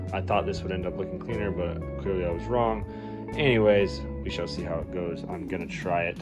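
A man speaks with loud music playing in the background. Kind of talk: casual DIY commentary. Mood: frustrated, unimpressed. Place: garage. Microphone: phone near.

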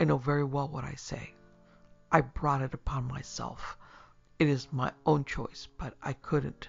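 The speaker uses a put-on character voice with vocal fry, a slightly husky edge, and little pitch movement. The pace is fairly slow, with faint music in the background. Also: man, medium pitch for a man.

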